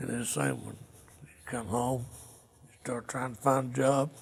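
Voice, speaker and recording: A man with an American accent, medium-pitched, with vocal fry, at a moderate pace. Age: 60s. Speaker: Vietnam war veteran. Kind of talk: interview testimony.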